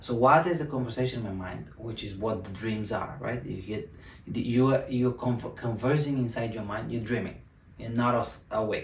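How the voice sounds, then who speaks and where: A man speaks at a moderate pace with a medium pitch and ordinary pitch variation. Room echo is audible. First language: Bulgarian. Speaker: self-help video host. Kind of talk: motivational talk to camera. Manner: halting, many fillers and restarts.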